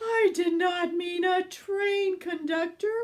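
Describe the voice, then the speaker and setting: In a put-on character voice, a woman speaks at a very slow pace and an extremely high pitch, with fairly even intonation. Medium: read story. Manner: brisk, exasperated.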